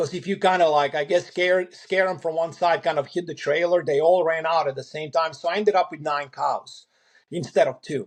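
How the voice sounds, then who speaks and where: In a European accent, a man with a high pitch talks at a fairly quick pace with fairly even intonation. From Eastern Europe, ex-socialist country. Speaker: farmer. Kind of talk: interview storytelling. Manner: halting, many fillers and repeats.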